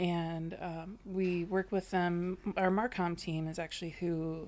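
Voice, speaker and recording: In an American accent, a woman talks very slowly in a fairly low, dark and mellow voice with flat, monotone intonation. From Wisconsin. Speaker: dairy marketing professional. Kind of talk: casual interview.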